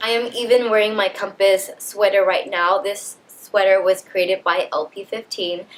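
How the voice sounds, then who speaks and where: With noticeable background noise behind her, a woman of medium pitch talks at a moderate pace with hardly any pauses and fairly even intonation. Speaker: lifestyle vlogger; leadership coach. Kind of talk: motivational vlog talk.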